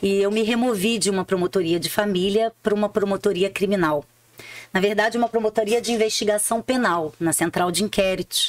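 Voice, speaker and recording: A woman with a Rio de Janeiro accent talks at a fairly quick pace and medium pitch, with ordinary pitch variation. Her loudness is very even, and the sound is dry and close with no echo. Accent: Rio de Janeiro (carioca). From Rio de Janeiro, Brazil. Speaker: public prosecutor. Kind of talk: interview conversation. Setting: studio.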